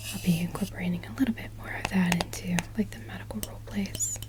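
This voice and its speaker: A woman talks at a moderate pace in a gentle, relaxed tone, with noticeable background noise behind her. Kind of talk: ASMR gentle whispered talking. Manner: gentle, soft-spoken, relaxed.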